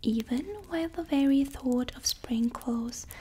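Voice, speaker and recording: Soft-spoken and high-pitched, a woman talks at a fairly slow pace over noticeable background noise. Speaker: ASMR creator. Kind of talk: reading aloud from a vintage fashion magazine in English.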